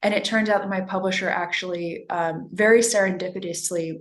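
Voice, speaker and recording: A woman with a normal speaking voice, medium pitch, an American accent, fairly even intonation and a moderate pace. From US West Coast, Los Angeles. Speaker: novelist. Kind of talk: interview.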